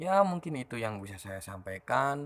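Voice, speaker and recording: A man speaks at a moderate pace with a slight Madurese accent. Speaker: teacher and vlogger. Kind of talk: casual monologue answering viewer questions.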